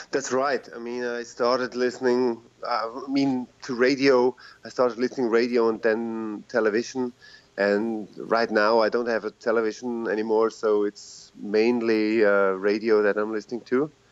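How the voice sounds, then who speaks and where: A man speaks with a Swiss German accent at a moderate pace. His medium-pitched delivery is monotone and flat. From Switzerland, Zurich. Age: 40s. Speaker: rapper and teacher. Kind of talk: casual interview.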